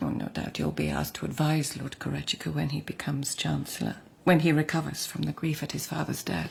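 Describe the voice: Putting on a character voice, a woman speaks low-pitched with vocal fry, a slightly mellow tone, lively intonation and a fairly quick pace.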